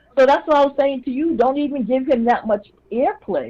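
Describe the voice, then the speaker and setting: A woman speaks with a high pitch and lively intonation. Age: 60s. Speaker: caller to a live call-in show. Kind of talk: casual chat.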